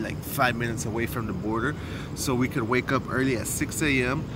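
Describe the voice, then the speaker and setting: A man talks at a fairly quick pace. The sound is dry with no echo, with noticeable background noise. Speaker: travel vlogger. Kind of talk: casual vlog chat. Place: street. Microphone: phone near.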